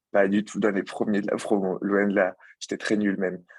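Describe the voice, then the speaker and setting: A man with a fairly low pitch is heard in a dry, close sound with no echo against a quiet background. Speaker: former student, banking apprentice. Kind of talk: student presentation. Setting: video call. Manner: fast; hesitant, many fillers.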